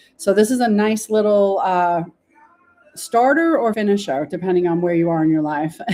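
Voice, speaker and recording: The voice carries an American accent and a dark, mellow tone. Its pitch swings very widely at a moderate pace. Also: woman, medium pitch for a woman. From New York. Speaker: local real estate podcast host. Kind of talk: real estate market walkthrough. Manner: casual, chatty.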